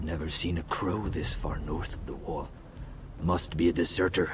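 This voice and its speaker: Putting on a character voice, a man speaks in a very deep, low pitch at a moderate pace, with clear background noise. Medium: video game. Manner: hostile, menacing.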